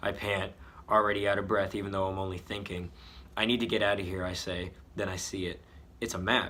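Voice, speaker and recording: In a put-on character voice, a man with a raspy, fairly low pitch talks at a fairly quick pace in a monotone, flat intonation, broken by long, frequent pauses. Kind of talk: mock-dramatic reading of own story. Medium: read story. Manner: self-mocking, playful asides.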